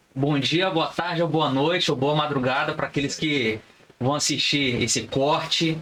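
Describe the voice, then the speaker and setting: Speaking at a fairly slow pace with a fairly high pitch, a man keeps his loudness very even and his pitch variation ordinary, with noticeable background noise. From Brazil, Resende (Rio de Janeiro state). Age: 30s. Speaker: criminal lawyer. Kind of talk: podcast interview.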